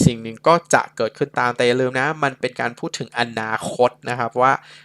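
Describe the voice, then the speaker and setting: A man's medium-pitched voice with a bright, sharp tone comes through dry and close with no echo. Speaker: English tutor. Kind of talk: tutorial.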